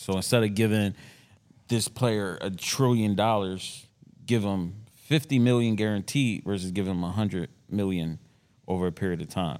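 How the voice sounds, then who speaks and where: A man with a plain, everyday voice, fairly low pitch, ordinary pitch variation and moderate pace, on a very clean recording with a silent background. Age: 30s. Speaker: podcast co-host, former athlete. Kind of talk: casual banter.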